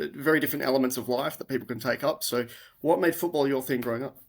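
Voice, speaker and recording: An Australian-accented man talks at a very fast pace. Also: very clean recording, silent background. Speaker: podcast host. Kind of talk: casual interview. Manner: hesitant, many fillers.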